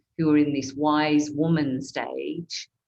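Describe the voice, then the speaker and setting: Her pitch is very deep and low, and this woman speaks with monotone, flat intonation. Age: 60s. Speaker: consultant and coach hosting a webinar. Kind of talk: online panel discussion.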